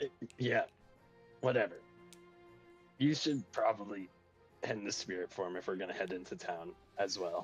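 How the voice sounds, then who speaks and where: Putting on a character voice, a man speaks in a fairly low, gravelly, raspy tone at a moderate pace with long, frequent pauses over faint music in the background. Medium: actual play. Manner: gruff, curt.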